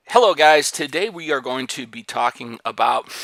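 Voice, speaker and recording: Recorded very cleanly against a silent background, a man talks with vocal fry. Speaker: real estate agent. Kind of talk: video presentation. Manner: occasional repetitions.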